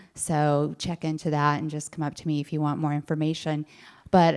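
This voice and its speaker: This woman has a very deep, low voice. The recording is very clean, with a silent background. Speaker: patient advocate, nonprofit founder. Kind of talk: audience comment at panel.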